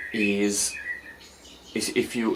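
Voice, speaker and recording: Noticeable background noise surrounds a man with a fairly low pitch who speaks at a very slow pace. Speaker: forex trader and video creator. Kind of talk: casual talking-head explainer. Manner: slow, deliberate; halting, many fillers and repeats.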